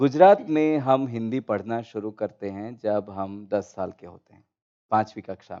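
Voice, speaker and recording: His loudness swings widely as a man with a medium pitch, a dark, mellow tone and ordinary pitch variation speaks. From India, Gujarat. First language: Gujarati (speaking Hindi). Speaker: panel speaker. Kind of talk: panel discussion. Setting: auditorium, online broadcast.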